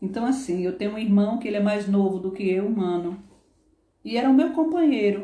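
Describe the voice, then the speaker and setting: Against audible room echo, a woman speaks in a dark, mellow, somewhat breathy tone with ordinary pitch variation. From Northeast Brazil (Paraíba, Pernambuco). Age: 50s. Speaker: former nursing assistant. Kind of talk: interview.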